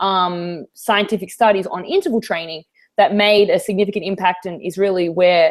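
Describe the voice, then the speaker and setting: A woman with an American accent, medium pitch and moderate pace. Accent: Australian, slight New York tinge. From Australia. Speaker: fitness trainer. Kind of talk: interview. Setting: video call.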